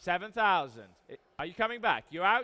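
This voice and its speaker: In an English accent, a man projects a raised voice that is high-pitched, bright and sharp in tone, with lively intonation. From England. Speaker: auctioneer. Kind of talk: live auction calling. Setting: live auction room.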